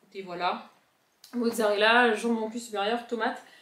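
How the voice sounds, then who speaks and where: A woman speaks with a southern French accent. Audible room echo surrounds her voice. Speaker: vlogger. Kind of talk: casual vlog chat. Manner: animated.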